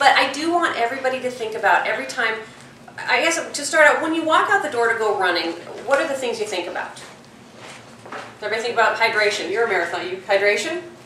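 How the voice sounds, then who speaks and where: Over noticeable background noise and audible room echo, a woman with a fairly high pitch talks at a very fast pace with long, frequent pauses and very wide pitch swings. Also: big swings in loudness. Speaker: police detective. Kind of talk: public safety talk. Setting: talk with live audience and microphone. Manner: loud.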